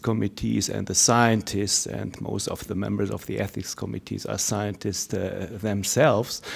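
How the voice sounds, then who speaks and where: A man talks at a moderate pace in a fairly low pitch with vocal fry. The recording is very clean, with a silent background. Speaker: research ethics network representative. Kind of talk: conference Q&A comment. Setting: conference hall. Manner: halting, many filler words.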